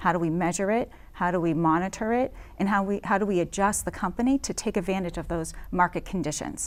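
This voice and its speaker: A woman's medium-pitched voice with an American accent, ordinary pitch variation and a fairly quick pace, in a very clean recording with a silent background. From Massachusetts, Chelmsford. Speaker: school committee candidate. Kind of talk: interview. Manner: hesitant, many fillers.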